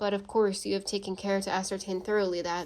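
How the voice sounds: This is a natural reading voice. It reads the text as written.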